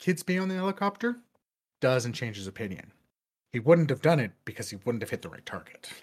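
Recorded very cleanly with a silent background, a somewhat breathy man at fairly high pitch talks at a fairly quick pace with very wide pitch swings and big swings in loudness. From Quebec. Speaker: podcast co-host. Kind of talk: casual chat.

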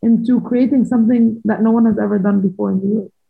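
With a plain, everyday voice, a woman speaks in a fairly high pitch with fairly even intonation. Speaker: former professional squash player. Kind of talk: interview.

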